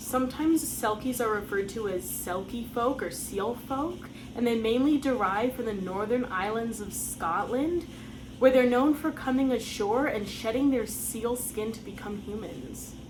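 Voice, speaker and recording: Noticeable background noise and audible room echo fill the recording. A woman speaks at a fairly high pitch and a moderate pace, with ordinary pitch variation. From United States. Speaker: folklore channel host. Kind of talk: scripted narration.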